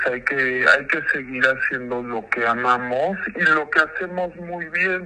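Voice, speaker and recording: A fairly high-pitched man, very slow with hardly any pauses, over noticeable background noise. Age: 30s. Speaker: musician. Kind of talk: interview.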